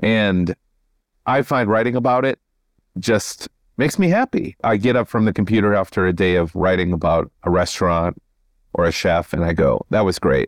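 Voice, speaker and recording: In an American accent, a man with a plain, everyday voice speaks at a moderate pace and a fairly low pitch, his pitch varying in an ordinary way and his loudness very even. The recording is very clean with a silent background, and the sound is dry and close with no echo. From southeastern Minnesota. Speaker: novelist. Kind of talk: casual interview.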